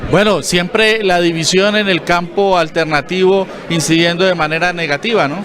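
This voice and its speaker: A man with a high pitch speaks at a moderate pace and fairly even intonation. There is audible room echo and noticeable background noise. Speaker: TV news interviewer. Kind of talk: TV interview.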